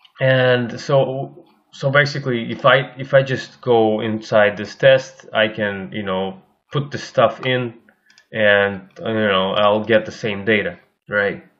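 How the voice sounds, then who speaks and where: A man speaks at a very slow pace in a Russian accent. His pitch is medium. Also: ordinary pitch variation. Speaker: algorithmic trader and course instructor. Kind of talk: screen-share tutorial. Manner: halting, many fillers and repetitions.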